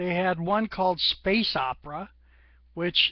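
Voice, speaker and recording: A woman talks at a fairly slow pace. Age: 60s. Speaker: gaming vlogger. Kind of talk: casual monologue vlog. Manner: rambling, conversational.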